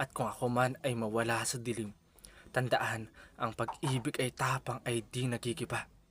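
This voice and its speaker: The man's pitch is medium and his intonation monotone, flat. He keeps to a moderate pace. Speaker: spoken word poet. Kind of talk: spoken word poetry.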